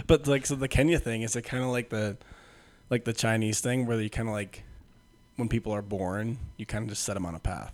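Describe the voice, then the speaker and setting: With music playing behind him, a man of medium pitch speaks fairly quickly, his pitch varying in an ordinary way. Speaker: podcast host and gym coach. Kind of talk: casual chat; scripted intro.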